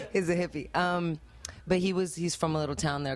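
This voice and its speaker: A woman speaks with lively intonation. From Spain. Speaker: musician, band singer. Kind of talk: interview. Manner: casual, with many fillers.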